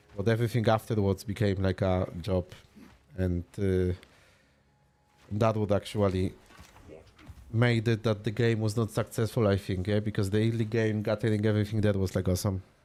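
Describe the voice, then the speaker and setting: A man with a Polish accent speaks at a fairly low pitch in a dark, mellow tone, his flat, monotone delivery broken by long, frequent pauses. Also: moderate pace. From Poland. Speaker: video game streamer. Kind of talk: casual live-stream chat. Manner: relaxed, casual.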